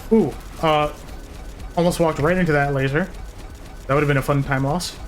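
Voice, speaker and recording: The speech moves at a fairly quick pace with music playing in the background. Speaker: video game streamer. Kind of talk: live gameplay commentary. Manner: fast.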